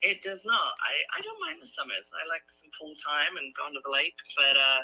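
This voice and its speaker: Music plays in the background. The speaker keeps a moderate pace. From London, England. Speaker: real estate agent. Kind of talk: sales call.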